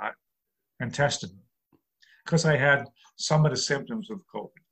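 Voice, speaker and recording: The speaker talks with a New York accent. The pace is moderate. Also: man. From New York City. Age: 60s. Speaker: comedian. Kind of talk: interview.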